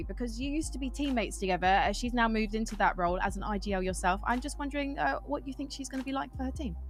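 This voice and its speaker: With a British accent, a woman talks at a very fast pace with hardly any pauses, over noticeable background noise and audible room echo. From Britain. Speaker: esports interviewer. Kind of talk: interview. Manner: rougher when excited.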